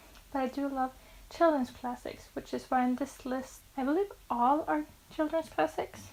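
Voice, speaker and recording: With a Norwegian accent, a high-voiced woman talks at a moderate pace with ordinary pitch variation. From Norway. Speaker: book vlogger. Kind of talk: casual vlog talk to camera. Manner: occasional stumbles over English words.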